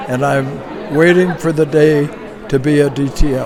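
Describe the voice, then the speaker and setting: Crowd noise sits in the background and the room echo is audible. The speech moves at a fairly slow pace with ordinary pitch variation. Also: man. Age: 80s+. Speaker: public speaking club member. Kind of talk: interview.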